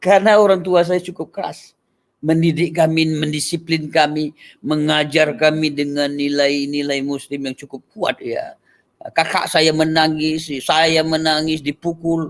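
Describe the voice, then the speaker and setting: With fairly even intonation, a man speaks in an unremarkable speaking voice pitched fairly high. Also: fairly slow pace. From Aceh (Sigli, Pidie), later Medan. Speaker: pastor. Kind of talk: testimony.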